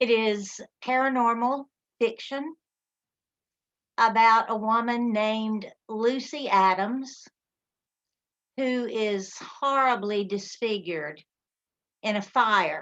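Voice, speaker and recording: Speaking at a very slow pace with long, frequent pauses, a woman with a Southern US accent uses a fairly high pitch and ordinary pitch variation. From Alabama. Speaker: author. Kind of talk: book presentation. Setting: video call.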